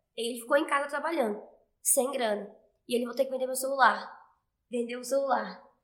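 In a room with audible echo, a woman speaks at a high pitch and a fairly quick pace with an animated tone. Her loudness swings widely, and she takes long, frequent pauses. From Brazil, interior of Goiás. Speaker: fitness trainer, dance fitness program creator. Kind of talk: casual interview.

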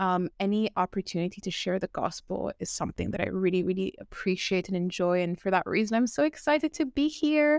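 A woman speaks in a plain, everyday voice at a medium pitch, with lively intonation and a moderate pace. The recording is very clean, dry and close, with a silent background and no echo. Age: 20s. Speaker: ex-new ager turned evangelist. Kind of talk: testimony.

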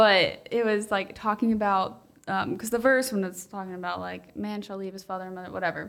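An unremarkable speaking voice from a woman at medium pitch, fairly quick with hardly any pauses, fairly even in intonation but with big swings in loudness. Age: 20s. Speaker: podcast co-host. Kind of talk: casual chat.

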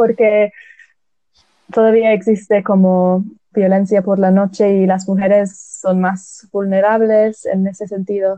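A woman in an English accent, very slow, with flat, monotone intonation. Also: medium pitch for a woman. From England. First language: English (speaking Spanish). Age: 20s. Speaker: recent graduate. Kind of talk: casual chat. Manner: halting.

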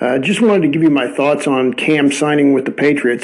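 There is noticeable background noise behind a man's voice. He has a fairly high pitch and talks at a moderate pace. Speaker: football YouTuber and podcaster. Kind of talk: recorded voice message.

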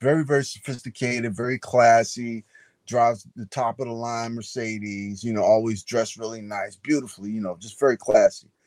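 With fairly even intonation, an ordinary speaking voice runs at a fairly quick pace. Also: man, medium pitch for a man. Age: 50s. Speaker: novelist. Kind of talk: interview.

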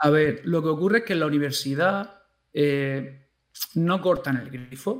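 A man's normal speaking voice, fairly high-pitched, with ordinary pitch variation and a fairly slow pace. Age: 30s. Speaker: primary school teacher. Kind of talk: casual interview chat.

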